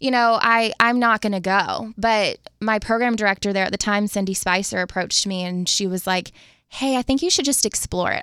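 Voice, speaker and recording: On a very clean recording with a silent background, a woman with an American accent has an unremarkable speaking voice, a fairly high pitch, ordinary pitch variation and a fairly quick pace. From Jacksonville, Florida. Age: 20s. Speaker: radio host. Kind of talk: testimony.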